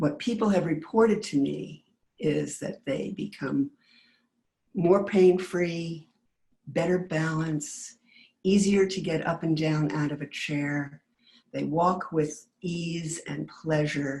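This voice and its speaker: Vocal fry runs through a dark, mellow tone delivered at a very slow pace. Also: woman, fairly low pitch for a woman, ordinary pitch variation. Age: 70s. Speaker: movement class instructor. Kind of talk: class preview talk. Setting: webinar.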